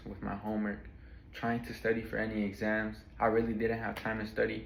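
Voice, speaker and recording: A man at medium pitch and a moderate pace, with audible room echo. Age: 20s. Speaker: college student. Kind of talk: class speech. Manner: casual, some hesitations.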